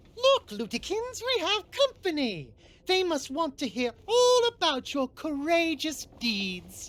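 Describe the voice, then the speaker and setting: A woman puts on a character voice, pitched extremely high with very wide swings, and talks at a fairly slow pace. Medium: video game. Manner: warm but firm.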